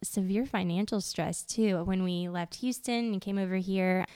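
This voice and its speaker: A woman's dark, mellow tone with fairly even intonation, in a very clean recording with a silent background. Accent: Louisiana. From Louisiana. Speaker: podcast host. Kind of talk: casual interview chat.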